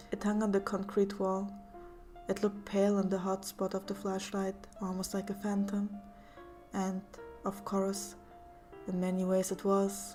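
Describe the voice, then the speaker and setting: Over music in the background, a woman with a German accent talks at a moderate pace and medium pitch in a monotone, flat delivery with long, frequent pauses. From Germany. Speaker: story narrator. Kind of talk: horror story reading.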